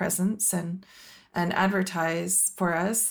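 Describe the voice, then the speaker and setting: A woman at medium pitch, with a normal speaking voice and fairly even intonation, on a very clean recording with a silent background. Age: 50s. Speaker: company executive. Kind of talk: podcast interview.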